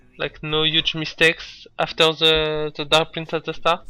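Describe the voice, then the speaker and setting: A man with a non-native accent speaks at a fairly slow pace. His voice is fairly high-pitched with a bright, sharp tone. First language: not English. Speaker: speedrunner. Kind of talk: gameplay commentary. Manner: hesitant.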